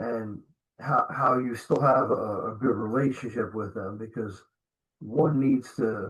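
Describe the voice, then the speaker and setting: A man with an American accent, medium pitch, somewhat breathy, at a fairly slow pace with fairly even intonation. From New Jersey. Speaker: podcast host, security trainer. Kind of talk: interview.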